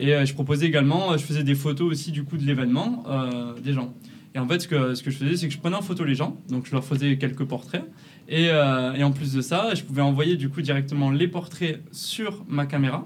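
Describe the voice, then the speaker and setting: Somewhat breathy and fairly high in pitch, a man speaks with a southern French accent amid audible room echo. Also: ordinary pitch variation, fairly quick pace. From southern France, near Perpignan. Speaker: photographer and videographer, agency co-founder. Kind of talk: casual interview. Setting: in person, La Rochelle.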